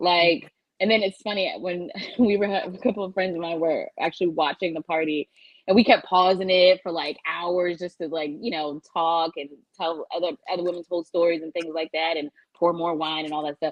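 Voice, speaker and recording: An ordinary speaking voice, this woman talks at a moderate pace in a fairly low pitch with fairly even intonation. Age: 30s. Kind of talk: casual chat.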